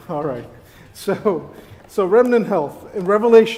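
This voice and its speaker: Noticeable background noise is present throughout. Over it, a man talks at a high pitch. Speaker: church elder and physician delivering a sermon. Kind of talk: sermon to a congregation.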